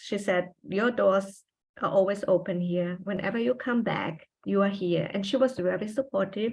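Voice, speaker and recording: In a quiet background, a woman talks at a medium pitch with fairly even intonation. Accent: German. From Austria. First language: German. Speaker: trailing spouse, former journalist. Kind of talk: interview. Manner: halting.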